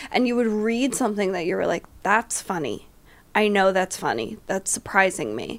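A woman at a medium pitch, animated in tone with vocal fry, in a very clean recording with a silent background. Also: ordinary pitch variation, moderate pace. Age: 30s. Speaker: comedian. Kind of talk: casual chat.

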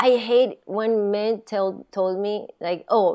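A woman speaks in a medium pitch with a dark, mellow tone. The background is quiet. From Japan. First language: Japanese. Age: 40s. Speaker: stand-up comedian. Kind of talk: casual chat. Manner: giggly, laughs often.

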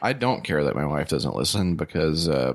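On a very clean recording with a silent background, a man with an extremely low pitch speaks at a moderate pace with big pitch swings.

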